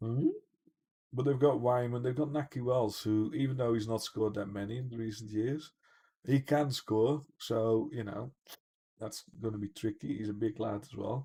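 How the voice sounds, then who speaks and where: A somewhat breathy male voice, dark and mellow in tone, with fairly even intonation. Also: medium pitch for a man, moderate pace. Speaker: gaming streamer. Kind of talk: live gameplay commentary. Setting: home livestream. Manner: laid-back.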